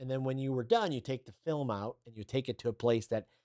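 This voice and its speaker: Medium-pitched male voice, dry and close with no echo. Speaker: communication trainer. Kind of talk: online course lesson to camera. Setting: studio. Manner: upbeat, enthusiastic.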